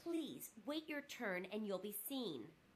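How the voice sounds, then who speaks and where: A woman does a put-on character voice at a fairly high pitch with very wide pitch swings, speaking at a fairly slow pace against clear background noise. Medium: video game. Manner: curt, impatient.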